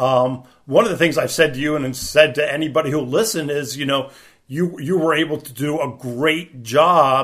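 The pace is fairly slow, with few pauses. The tone comes across fairly bright. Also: man.

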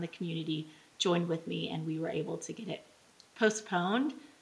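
Against noticeable background noise, a woman with an American accent speaks in a fairly low pitch with ordinary pitch variation. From Texas, Midland. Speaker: parent activist. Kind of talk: impassioned rally-style speech against a drag event. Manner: fervent, run-on rallying cadence.

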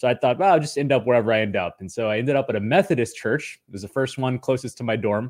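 Speaking at a very fast pace with hardly any pauses, a man uses a medium pitch and ordinary pitch variation in a very clean recording with a silent background. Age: 30s. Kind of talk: interview.

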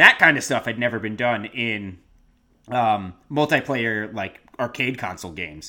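At a moderate pace, a bright, sharp tone shifts with big swings in loudness and ordinary pitch variation in a very clean recording with a silent background. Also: man, medium pitch for a man. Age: 30s. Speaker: podcast co-host. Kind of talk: casual chat. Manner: halting, many fillers.

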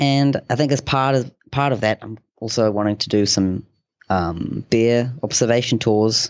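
A man with a New Zealand accent speaks at a fairly slow pace, his pitch medium and its variation ordinary. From New Zealand, Northland (Hokianga). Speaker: conservationist and wildlife guide. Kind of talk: interview. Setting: remote call.

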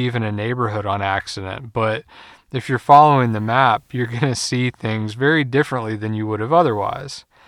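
An unremarkable speaking voice from a man, medium in pitch with ordinary variation, at a moderate pace, with a dry, close sound and no echo on a very clean recording with a silent background. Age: 30s. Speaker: podcast host, car sales and service advisor. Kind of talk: solo podcast monologue.

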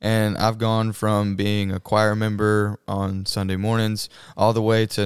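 A man with a Southern US accent and a fairly low pitch talks in a monotone, flat intonation, on a very clean recording with a silent background and a dry, close sound with no echo. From Mississippi. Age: 20s. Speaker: nursing student and church worship singer. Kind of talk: casual interview.

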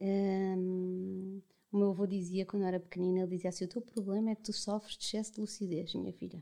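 A woman talks at a very fast pace with hardly any pauses. Her medium-pitched voice is dark and mellow, with monotone, flat intonation. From Portugal, mountain inland region. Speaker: podcast guest, mother. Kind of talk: casual chat.

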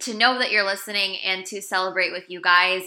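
A woman is speaking. Her tone is bright and sharp. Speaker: podcast host. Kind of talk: casual chat. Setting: video call.

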